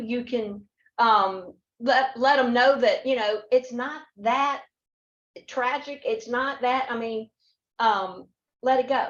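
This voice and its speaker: With a Southern US accent, a woman speaks very slowly at a high pitch with ordinary pitch variation. Long, frequent pauses break up her speech. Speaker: panel guest, workplace speaker. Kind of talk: panel discussion.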